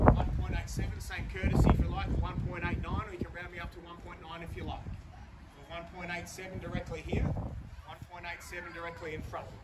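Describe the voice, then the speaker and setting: A man speaks fairly quickly with loud noise in the background. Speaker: auctioneer. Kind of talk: live auction bid calling. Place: garden. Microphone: camera far.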